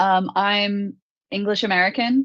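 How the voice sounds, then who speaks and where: A woman is speaking at a fairly high pitch. The background is quiet. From US. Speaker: MMA fighter. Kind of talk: interview. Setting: live online show.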